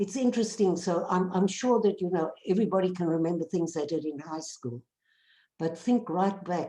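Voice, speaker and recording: The speaker is a woman. Her tone is dark and mellow. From South Africa. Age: old. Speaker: peace activist. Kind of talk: class discussion.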